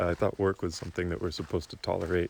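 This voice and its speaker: Speaking at a very fast pace, a soft-spoken man uses a very deep, low pitch. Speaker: vlogger. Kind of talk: casual vlog monologue.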